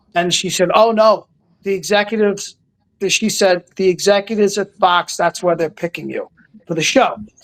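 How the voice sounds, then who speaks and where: A man with a New York accent speaks at a high pitch in a dry, close sound with no echo. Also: moderate pace. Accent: New York, rough around the edges. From New York City (Queens, Brooklyn). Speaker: game show contestant, social media creator. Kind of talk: casual podcast interview. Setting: podcast interview. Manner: animated.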